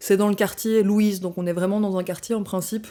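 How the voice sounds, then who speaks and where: At a moderate pace, a woman speaks at medium pitch with a dark, mellow tone, on a very clean recording with a silent background. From Belgium, Brussels. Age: 20s. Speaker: anthropology student. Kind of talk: podcast interview. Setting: studio.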